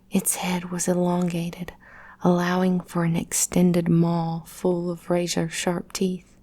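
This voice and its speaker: Soft-spoken and calm, a woman talks in a monotone, flat intonation, her somewhat breathy voice dark and mellow in tone. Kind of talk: personal story narration. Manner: soft-spoken, calm.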